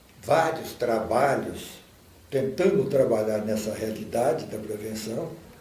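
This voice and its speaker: Over noticeable background noise and audible room echo, a man talks at a fairly slow pace with lively intonation. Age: 70s. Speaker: anti-drug program volunteer. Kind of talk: documentary interview.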